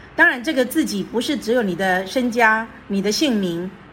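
A woman with a fairly high pitch speaks at a moderate pace amid audible room echo. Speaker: retired teacher and public speaker. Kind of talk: interview.

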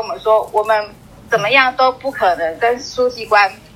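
Noticeable background noise sits behind a woman who talks at a fairly quick pace. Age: 40s. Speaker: civil servant. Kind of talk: interview.

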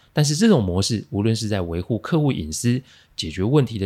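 A man with a Taiwanese accent, fairly low in pitch, serious in tone, fairly quick, with lively intonation, on a very clean recording with a silent background. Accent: Taiwanese Mandarin. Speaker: podcast host, crisis management consultant. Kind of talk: monologue, case analysis. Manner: low, serious tone today.

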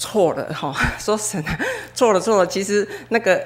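Noticeable background noise sits under a woman's voice with ordinary pitch variation. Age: 40s. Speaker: church member giving testimony. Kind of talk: testimony. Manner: halting, many fillers.

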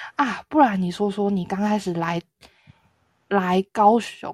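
A woman speaks at a very slow pace with long, frequent pauses, her medium-pitched voice somewhat breathy. The sound is dry and close, with no echo. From southern Taiwan. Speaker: podcast co-host. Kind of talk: casual chat.

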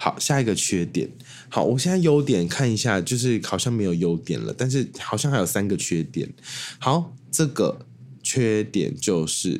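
Pitch swings very widely at a moderate pace in a very clean recording with a silent background. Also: man, medium pitch for a man. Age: 20s. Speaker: podcast host. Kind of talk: casual solo monologue.

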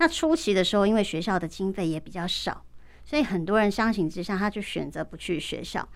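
A woman with a medium-pitched, unremarkable speaking voice talks at a fairly quick pace with lively intonation, on a very clean recording with a silent background. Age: 40s. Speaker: real-time captioner. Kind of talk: radio interview.

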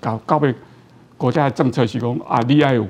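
Someone male talks at a fairly quick pace. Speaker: orthopedic surgeon. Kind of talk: interview. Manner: halting, many fillers.

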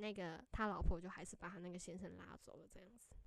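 Her voice sits at a medium pitch. The woman talks extremely fast. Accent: Taiwanese. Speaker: podcast co-host. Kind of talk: casual chat.

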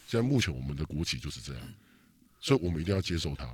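On a very clean recording with a silent background, a man talks with vocal fry and very wide pitch swings. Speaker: political podcast host. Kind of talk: casual chat. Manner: animated.

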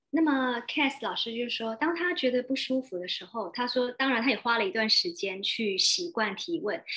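The speech has lively intonation and runs at a very fast pace with hardly any pauses. Noticeable background noise is present. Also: woman, high pitch for a woman. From Taiwan. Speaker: interpreter and host. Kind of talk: consecutive interpreting. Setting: video call.

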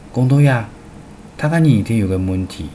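With noticeable background noise and audible room echo, a man's pitch swings very widely. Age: 50s. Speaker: radio program host. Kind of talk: scripted narration.

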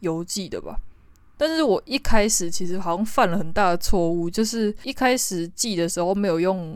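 On a very clean recording with a silent background, a woman in a plain, everyday voice speaks at a moderate pace with a medium pitch and ordinary pitch variation. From Taiwan. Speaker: podcaster, new graduate job seeker. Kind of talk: casual monologue. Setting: alone at home.

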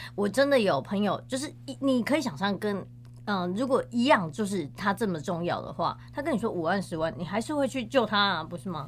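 Using a medium pitch with very wide pitch swings and vocal fry, a woman talks at a fairly quick pace. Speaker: professional organizer. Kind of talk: interview conversation.

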